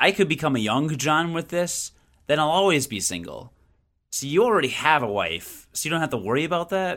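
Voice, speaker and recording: Fairly high-pitched speech from a man. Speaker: video game podcast host. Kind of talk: casual chat. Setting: video call. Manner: rambling, goes on tangents.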